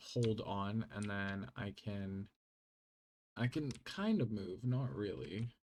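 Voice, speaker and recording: Very slow speech in a non-native accent. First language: not English. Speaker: gaming YouTuber. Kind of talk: gameplay mod showcase. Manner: casual, hesitant with fillers.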